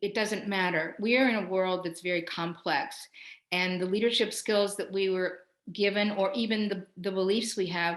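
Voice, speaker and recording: This woman has an ordinary speaking voice, medium in pitch, with fairly even intonation. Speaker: professor and leadership coach. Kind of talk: webinar talk with guided breathing exercise. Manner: slow, calm guided meditation.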